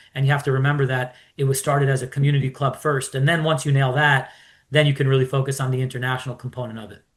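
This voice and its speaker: A man talking very fast, flat and monotone, with big jumps in loudness and a somewhat breathy voice. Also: medium pitch for a man. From New York. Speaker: sports investor, club owner. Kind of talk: interview.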